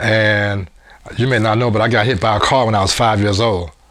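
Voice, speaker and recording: A man talks at a moderate speed and a medium pitch, his intonation fairly even, while background noise is clearly heard. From US Midwest, Cincinnati, Ohio. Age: 70s. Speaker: former state champion athlete. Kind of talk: interview testimony. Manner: halting.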